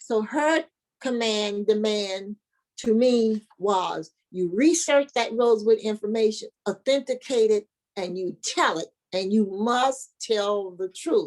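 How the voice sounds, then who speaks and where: A woman speaks at a fairly high pitch with ordinary pitch variation. Her pace is very slow. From US South, north Florida. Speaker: historian and foundation founder. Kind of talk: interview. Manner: animated.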